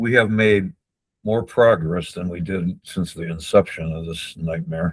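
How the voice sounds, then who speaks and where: A man's very deep, low voice at a fairly slow pace, with ordinary pitch variation and big swings in loudness. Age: 60s. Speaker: wrongful conviction advocate. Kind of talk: interview. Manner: halting.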